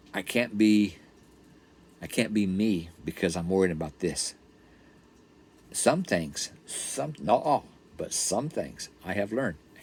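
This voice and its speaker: A man with a normal speaking voice talks fairly slowly at a fairly low pitch, his intonation lively. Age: 60s. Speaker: vlogger. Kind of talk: casual devotional vlog talk. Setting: RV park. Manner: conversational, repetitive.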